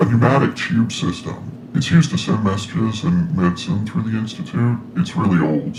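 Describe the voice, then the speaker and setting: Over clear background noise, a put-on character voice moves at a moderate pace with hardly any pauses. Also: man, medium pitch for a man. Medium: audio drama. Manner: hesitant, folksy, with filler sounds.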